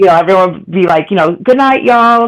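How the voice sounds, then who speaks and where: A very fast pace in a Boston accent. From Boston area. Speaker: online panel participant. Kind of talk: casual chat.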